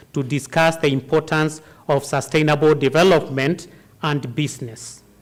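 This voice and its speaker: With ordinary pitch variation, a normal speaking voice proceeds at a moderate pace. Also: man. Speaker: university associate dean. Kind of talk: vote of thanks speech. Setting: auditorium with audience.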